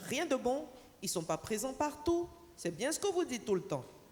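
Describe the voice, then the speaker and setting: Her voice showing vocal fry, a woman speaks at a fairly slow pace with very wide pitch swings. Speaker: panelist representing telecom operators. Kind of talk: conference panel talk. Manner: deliberately slow.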